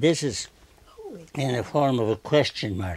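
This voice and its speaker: A man with a medium pitch and ordinary pitch variation talks at a moderate pace over noticeable background noise. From Turkey, Armenian family. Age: 90s. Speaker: painter. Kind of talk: interview. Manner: halting.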